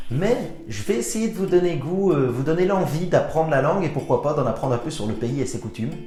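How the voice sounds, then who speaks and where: Fairly high and fairly quick, a man's voice swings very widely in pitch. Noticeable background noise is present. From Belgium. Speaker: actor and screenwriter. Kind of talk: casual comedic talk to camera.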